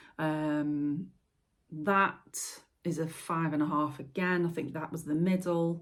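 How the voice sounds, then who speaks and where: Very slowly and in a monotone, flat intonation, a woman speaks with a Staffordshire accent and a very deep, low pitch. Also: very clean recording, silent background. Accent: Stoke-on-Trent. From Stoke-on-Trent, England. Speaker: potter and video maker. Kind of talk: casual vlog talk to camera. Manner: hesitant, many fillers.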